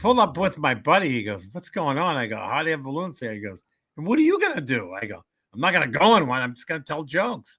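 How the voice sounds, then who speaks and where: Very fast and full of very wide pitch swings, a man's fairly high, bright, sharp voice carries vocal fry and big shifts in loudness, on a very clean recording with a silent background. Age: 70s. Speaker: comedian and motivational speaker. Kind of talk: interview with joke telling.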